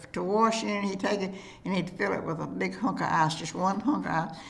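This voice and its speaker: Here a woman speaks with a North Texas accent. Her pitch is fairly low and her intonation lively. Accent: rural North Texas Southern. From Gober, Fannin County, Texas. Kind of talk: oral history interview answer.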